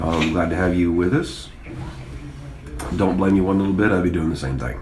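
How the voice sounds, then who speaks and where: With a Texan accent and a very deep, low pitch, this man talks at a fairly quick pace with ordinary pitch variation, amid noticeable background noise and audible room echo. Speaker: school sports coach and livestream commentator. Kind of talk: sports livestream commentary. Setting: press box at a football stadium. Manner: mellow.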